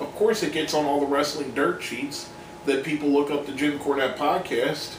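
Over light background noise and audible room echo, a man with a fairly high pitch talks at a moderate pace with ordinary pitch variation. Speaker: wrestling commentary video host. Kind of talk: opinion monologue. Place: home room. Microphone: webcam.

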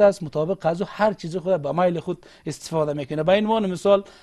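A man with a dark, mellow tone uses ordinary pitch variation against a quiet background. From Afghanistan, Faryab (Maimana); Afghanistan. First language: Uzbek (speaking Persian). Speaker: government official; interview guest. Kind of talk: TV interview. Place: studio.

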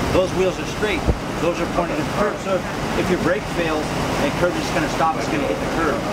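The speech moves at a fairly quick pace over loud background noise. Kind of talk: explaining a citation. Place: street.

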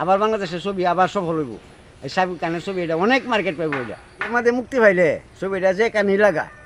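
Against noticeable background noise, a man speaks with a high voice for a man. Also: ordinary pitch variation. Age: old. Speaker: film fan interviewee. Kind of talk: street interview. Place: open country. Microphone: phone near.

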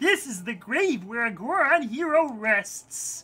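In a put-on character voice, a female-sounding speaker talks at a fairly slow pace with a high pitch for a woman and very wide pitch swings. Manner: solemn, ceremonial.

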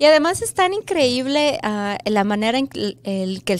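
A woman speaks with a Mexico City accent. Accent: Mexican Spanish (Mexico City). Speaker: first grade bilingual teacher. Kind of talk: interview. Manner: hesitant with fillers. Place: studio. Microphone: studio mic.

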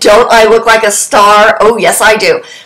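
A woman speaks at medium pitch with a fairly bright tone. Her pace is fairly slow, and room echo is audible.

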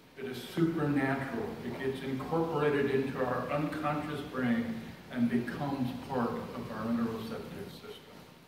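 A man speaks at a moderate pace with a medium pitch and ordinary pitch variation. Noticeable background noise and audible room echo fill the recording. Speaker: lay speaker. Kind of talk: sermon. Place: church. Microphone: camera far.

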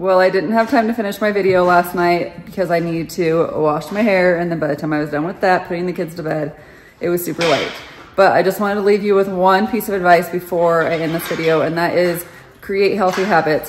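With music in the background, a woman speaks at a fairly quick pace in a fairly low pitch with fairly even intonation. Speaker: weight loss vlogger. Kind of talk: casual vlog chat. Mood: calm, advising. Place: kitchen. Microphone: phone near.

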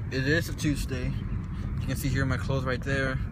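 A man is speaking. The sound is dry with no echo, though noticeable background noise runs underneath. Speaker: vlogger. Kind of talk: casual vlog chat. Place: car. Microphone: phone near.

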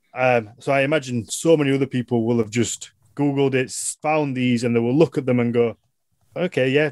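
A man of medium pitch talks at a fairly quick pace with a Yorkshire accent. The sound is dry with no echo, over a quiet background. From northern England. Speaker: podcast host and business owner; podcast host. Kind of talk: casual chat. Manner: animated. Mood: relaxed, laughing. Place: home room. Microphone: video call.

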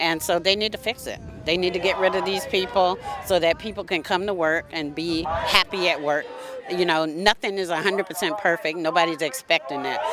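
A woman's fairly low voice at a moderate pace with fairly even intonation, dry with no echo, over noticeable background noise. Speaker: union representative. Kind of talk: rally interview. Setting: outdoor rally. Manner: firm, indignant. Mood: indignant, earnest. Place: street. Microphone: handheld.

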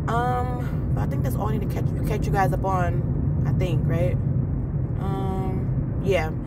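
Speech at a moderate pace sounds dry with no echo while music plays in the background. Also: woman. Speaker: vlogger. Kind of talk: casual vlog chat. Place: car. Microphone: phone near.

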